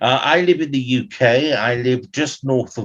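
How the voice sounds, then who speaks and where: Against a quiet background, a man with a southern English accent talks at a fairly slow pace. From London, England. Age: 60s. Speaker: actor. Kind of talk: interview. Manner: hesitant.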